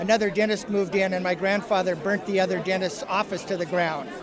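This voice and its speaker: Crowd noise fills the background. The speaker talks with a Pacific Northwest accent. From Walla Walla, Washington. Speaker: winery owner. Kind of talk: interview. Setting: wine awards event.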